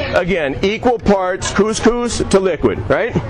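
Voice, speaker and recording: A loud, high-pitched male voice over music in the background. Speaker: chef. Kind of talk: live cooking demo. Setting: outdoors at a farmers' market, live audience.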